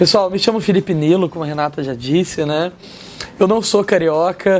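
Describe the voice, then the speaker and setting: At a moderate pace, a man speaks in a high pitch with ordinary pitch movement while noticeable noise sits in the background. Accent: Minas Gerais. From Minas Gerais interior, Brazil. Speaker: martial arts teacher and former MMA fighter. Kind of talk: interview chat.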